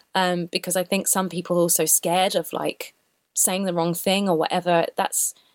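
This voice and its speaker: With a South London accent, a woman talks at a moderate pace and a fairly low pitch. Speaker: singer. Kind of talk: interview. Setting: remote call.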